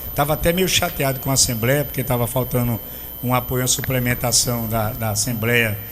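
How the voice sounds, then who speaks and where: A man speaks at a moderate pace in a medium pitch with ordinary pitch variation. Noticeable background noise is present. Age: 60s. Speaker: radio host. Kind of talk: interview. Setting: radio studio.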